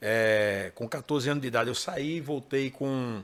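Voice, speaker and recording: In a Pernambuco accent, a man speaks very slowly at a medium pitch with ordinary pitch variation. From Pernambuco, Brazil (Recife metro area). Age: 40s. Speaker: gospel singer and songwriter. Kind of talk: interview. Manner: casual.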